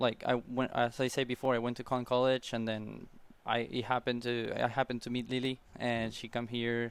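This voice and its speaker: A man with an Argentine accent speaks fairly quickly in a flat monotone at medium pitch. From Argentina. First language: Spanish. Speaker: college tennis player. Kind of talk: interview. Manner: halting.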